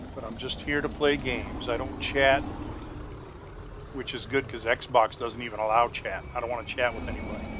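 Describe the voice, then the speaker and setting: Noticeable background noise sits under a man's voice at medium pitch. He speaks at a moderate pace with fairly even intonation and big swings in loudness. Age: 60s. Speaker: gaming YouTuber. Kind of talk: gameplay commentary. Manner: casual, playful.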